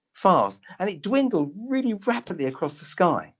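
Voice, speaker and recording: The voice, in a London accent, moves through very wide pitch swings. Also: man. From London, Tottenham. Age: 60s. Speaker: doctor. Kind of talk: interview storytelling.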